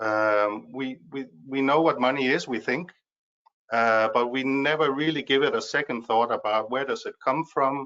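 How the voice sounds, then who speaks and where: Speaking with a Danish accent, a man talks at a moderate pace and medium pitch with ordinary pitch variation. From Denmark. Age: 50s. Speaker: speaker on money. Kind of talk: webinar talk. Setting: video webinar. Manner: halting, many fillers.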